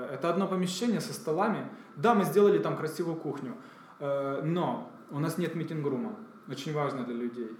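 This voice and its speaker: A man's fairly high, lively voice with long, frequent pauses, audible room echo and noticeable background noise. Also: moderate pace. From Ukraine, Kyiv. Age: 30s. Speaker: entrepreneur. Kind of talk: interview.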